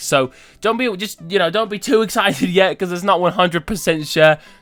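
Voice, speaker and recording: A man talks at a fairly quick pace with ordinary pitch variation, music playing behind him. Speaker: gaming video creator. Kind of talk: casual gameplay commentary.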